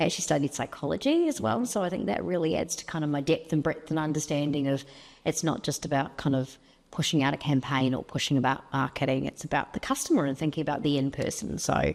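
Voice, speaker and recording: Very deep and low in pitch, a woman with a New Zealand accent talks at a very fast pace with ordinary pitch variation. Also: very clean recording, silent background. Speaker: marketing executive. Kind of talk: interview.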